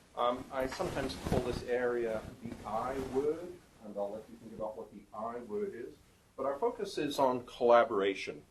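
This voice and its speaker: With audible room echo and noticeable background noise, a man of medium pitch speaks at a moderate pace with lively intonation. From UK-born, raised partly in Canada and New Zealand. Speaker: professor. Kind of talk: conference talk. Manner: many fillers (um, uh).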